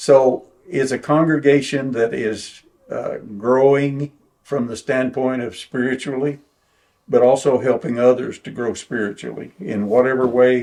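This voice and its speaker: A man with an Oklahoma accent speaks at a fairly slow pace and medium pitch, his intonation fairly even and his loudness swinging widely. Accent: southern US, Oklahoma. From Oklahoma, Bartlesville. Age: 80s+. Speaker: preacher and retired school principal. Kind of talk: oral history interview. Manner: halting.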